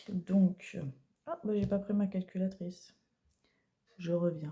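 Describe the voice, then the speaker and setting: A woman's voice, dark and mellow in tone, comes across somewhat breathy. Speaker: budgeting vlogger. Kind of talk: casual vlog. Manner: soft-spoken; halting.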